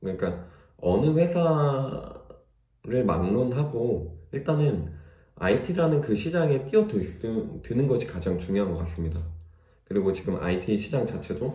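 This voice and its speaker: Audible room echo surrounds a somewhat breathy man whose medium pitch makes very wide swings. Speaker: job-seeking aspiring developer, vlogger. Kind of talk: casual vlog monologue. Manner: hesitant, with fillers.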